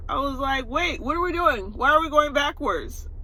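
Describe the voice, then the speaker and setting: Noticeable background noise is present throughout. The speaker's tone is animated. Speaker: vlogger. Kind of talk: casual vlog talk to camera.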